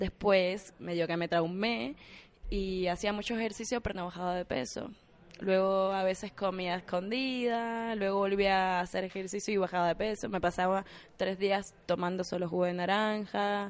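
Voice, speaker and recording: Against a quiet background, a woman speaks at a moderate pace. Her pitch is medium and her intonation fairly even. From Cuba. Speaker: actress and former ballet dancer. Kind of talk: casual interview.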